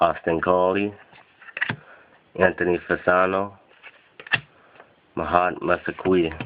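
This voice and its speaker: A man's very deep, low voice, monotone and flat, at a fairly slow pace with long, frequent pauses over noticeable background noise. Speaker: sports card collector. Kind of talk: box break unboxing commentary.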